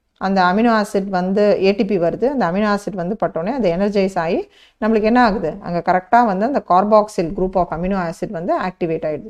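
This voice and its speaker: A woman with medium pitch and an ordinary speaking voice. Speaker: biology teacher. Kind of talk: online lecture.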